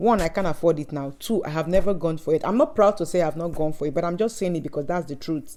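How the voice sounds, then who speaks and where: A woman's fairly low, dark and mellow voice at a very fast pace, with ordinary pitch variation and hardly any pauses. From Nigeria. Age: 30s. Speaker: student reviewing a coaching course. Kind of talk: personal video reflection. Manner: conversational, hesitant fillers.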